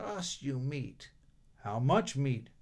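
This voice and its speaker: A put-on character voice from a man, medium in pitch. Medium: read story. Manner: terse.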